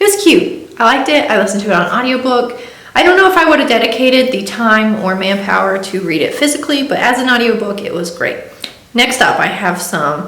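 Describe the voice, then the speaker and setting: A woman talks at a fairly quick pace in a fairly high voice, her pitch swinging very widely. Noticeable background noise and audible room echo surround her. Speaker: book vlogger. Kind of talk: casual chat. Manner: fast.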